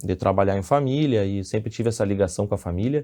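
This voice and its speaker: In a dark, mellow tone, a man speaks against a quiet background. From Brazil, Rio Grande do Sul (Santa Maria). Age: 30s. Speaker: civil engineer and businessman. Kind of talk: podcast interview. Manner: halting, with repetitions.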